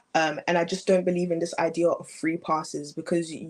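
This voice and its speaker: Speaking in a British accent, a woman uses a fairly low pitch at a fairly quick pace. The recording is very clean, the background silent. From England. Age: young. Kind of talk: interview answer.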